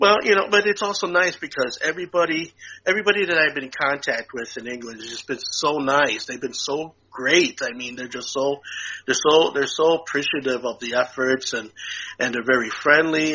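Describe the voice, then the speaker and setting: A man talks at a fairly quick pace with ordinary pitch variation. His loudness swings widely from moment to moment. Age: 60s. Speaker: podcast co-host. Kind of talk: casual chat. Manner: halting, many fillers and repeats.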